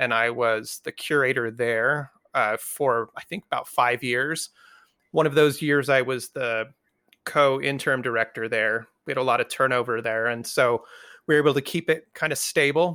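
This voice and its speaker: At a moderate pace, a bright, sharp voice comes through with fairly even intonation, the sound dry and close with no echo on a very clean recording over a silent background. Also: man, medium pitch for a man. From New Mexico. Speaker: museum curator. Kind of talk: casual chat.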